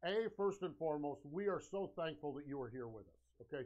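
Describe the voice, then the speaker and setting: A man speaks in an energetic, animated tone. His pitch sits fairly high for a man. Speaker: live-stream sales show host. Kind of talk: live sales pitch. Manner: loud, shouting.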